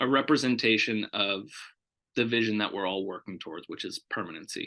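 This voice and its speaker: A man speaks at a moderate pace. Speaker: foster care program director. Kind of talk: interview. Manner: loud.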